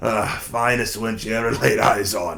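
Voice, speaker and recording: Here a man puts on a character voice, guttural and hoarse. His pitch sits in the medium range and his pace is moderate. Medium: read story. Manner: wistful, storytelling.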